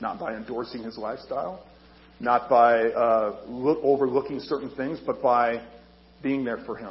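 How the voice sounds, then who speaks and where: A man at a medium pitch and moderate pace, fairly even intonation, big swings in loudness, long, frequent pauses and audible room echo. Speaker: army chaplain. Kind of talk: sermon. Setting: church.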